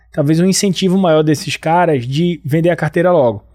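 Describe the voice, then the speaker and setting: On a very clean recording with a silent background, a man speaks at a moderate pace in a northeastern Brazilian accent. His tone is dark and mellow, with ordinary pitch variation. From Brazil, Northeast. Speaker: company CEO and podcast host. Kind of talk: business interview.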